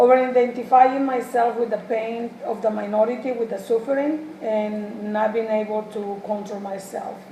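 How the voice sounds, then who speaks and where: In a Spanish accent, a woman speaks with hardly any pauses and fairly even intonation. Audible room echo and noticeable background noise are present. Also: fairly high pitch for a woman, moderate pace. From Mexico. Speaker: human services student. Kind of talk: mock job interview. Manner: halting, many fillers.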